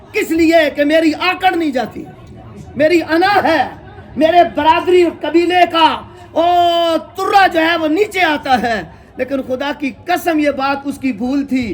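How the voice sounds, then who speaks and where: Over crowd noise in the background, a man with an extremely high pitch talks with ordinary pitch variation. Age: 60s. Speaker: Islamic cleric. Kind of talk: sermon. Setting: funeral gathering.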